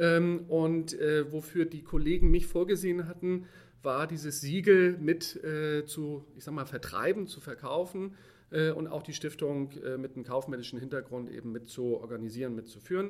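An ordinary speaking voice belongs to this man. His loudness swings widely while his pitch varies in an ordinary way. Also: fairly high pitch for a man, moderate pace. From Hamburg, northern Germany. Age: 40s. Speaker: corporate sustainability manager. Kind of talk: interview.

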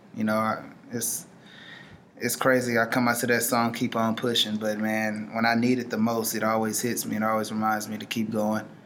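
With an American accent, someone speaks fairly quickly in a monotone, flat intonation amid audible room echo. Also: man, medium pitch for a man. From Houston, Texas. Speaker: professional baseball player. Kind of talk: interview.

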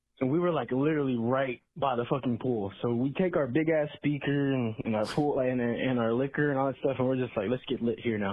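Barely pausing, a man with a Texan accent talks at a fairly quick pace, his medium-pitched voice holding very even loudness and ordinary pitch variation. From Texas. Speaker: caller. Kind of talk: phoned-in story. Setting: phone call.

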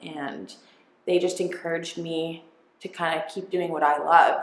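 A woman with a fairly low pitch speaks at a moderate pace over audible room echo. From northern Ontario, Canada. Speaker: branding and social media entrepreneur. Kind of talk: casual interview chat.

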